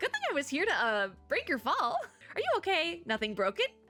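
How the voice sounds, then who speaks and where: A woman puts on a squeaky character voice at extremely high pitch with very wide pitch swings. She moves at a fairly quick pace, with faint music in the background. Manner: friendly, concerned.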